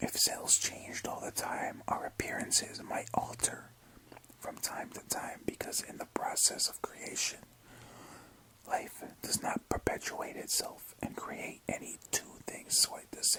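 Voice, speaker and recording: A man whispers at a fairly slow pace with noticeable background noise behind him. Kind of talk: ASMR whisper reading of a book. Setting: close-mic recording with mouth sounds and page turning. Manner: whispered, soft.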